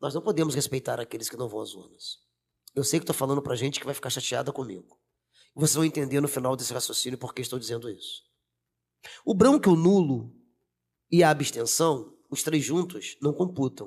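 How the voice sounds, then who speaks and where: A man's fairly high, somewhat breathy voice, animated in tone, at a fairly quick pace broken by long, frequent pauses. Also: ordinary pitch variation. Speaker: teacher and city council candidate. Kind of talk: podcast interview.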